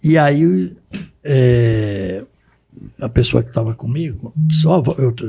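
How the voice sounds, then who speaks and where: A man with a medium pitch speaks very slowly, with long, frequent pauses and lively intonation. His tone is dark and mellow, and somewhat breathy. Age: 70s. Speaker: lawyer and professor. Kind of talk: interview. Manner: halting.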